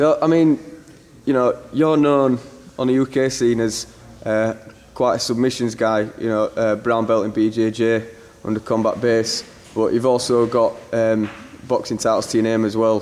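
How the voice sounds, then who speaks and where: Delivered in a Yorkshire accent at a moderate pace, the speech has long, frequent pauses, very even loudness and fairly even intonation. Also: man, medium pitch for a man. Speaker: sports interviewer. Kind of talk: interview questions.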